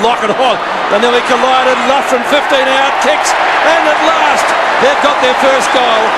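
At a moderate pace, a man talks through loud background noise. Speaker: football commentator. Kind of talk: live commentary. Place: stadium.

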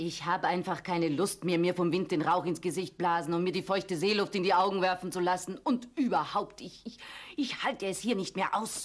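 A female-sounding, put-on character voice, rumbling and angry in tone, at medium pitch and moderate pace. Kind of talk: puppet theatre acting. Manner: grumbling, sharp-tongued, angry.

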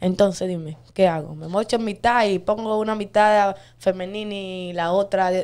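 The delivery is monotone and flat, moving at a moderate pace. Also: woman, medium pitch for a woman. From Dominican Republic. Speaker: viral dancer and social media personality; interview guest. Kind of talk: interview. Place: studio. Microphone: studio mic.

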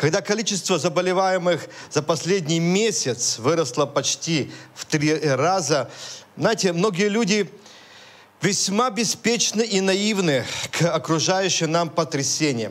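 Here a man talks at a fairly slow pace in a high pitch, with ordinary pitch variation. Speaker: preacher. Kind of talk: sermon. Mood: serious, earnest. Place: church. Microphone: handheld.

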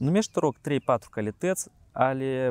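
A man with a dark, mellow tone speaks with lively intonation, recorded dry with no echo. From Moldova. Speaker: show host. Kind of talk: interview. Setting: outdoors. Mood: calm, friendly, curious. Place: garden. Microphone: lapel.

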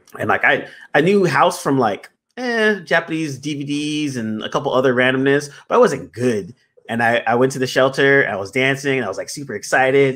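The pace is fairly quick. The speaker is a man. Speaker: podcast host. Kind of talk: casual conversation. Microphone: studio mic.

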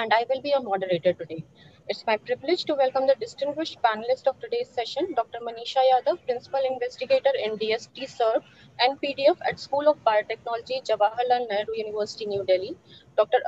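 Speaking at a very fast pace, a woman with a high pitch and ordinary pitch variation is heard in a dry sound with no echo over light background noise. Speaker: session moderator. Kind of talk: formal introduction. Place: office. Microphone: video call.

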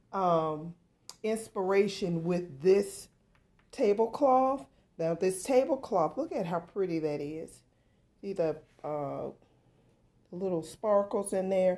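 A medium-pitched woman's voice at a very slow pace with long, frequent pauses. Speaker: home decor vlogger. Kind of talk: tutorial. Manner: casual, hesitant with fillers. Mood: warm, relaxed. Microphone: phone near.

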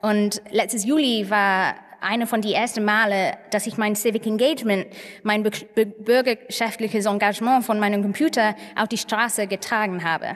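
In an English accent, a woman talks at a moderate pace with fairly even intonation. Her pitch is fairly high, and the background is quiet. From northern England, Manchester. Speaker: tech and data researcher. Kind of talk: conference talk. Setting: stage with audience. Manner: halting, many filler sounds. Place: stage. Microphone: podium.

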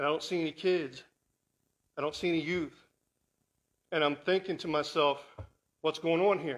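This man has an ordinary speaking voice with a fairly high pitch. He talks at a moderate pace with fairly even intonation. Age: 50s. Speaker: guest speaker; guest. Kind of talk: sermon. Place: church.

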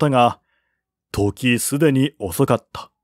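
A man speaks at a fairly slow pace with ordinary pitch variation and a slightly mellow tone. The recording is very clean, with a silent background and a dry, close sound with no echo.

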